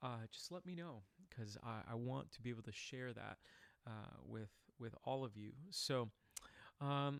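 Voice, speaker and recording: A man's voice with ordinary pitch variation. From Puerto Rico. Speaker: singer and vocal reaction youtuber. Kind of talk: live stream outro chat. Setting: live stream. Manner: halting, many fillers.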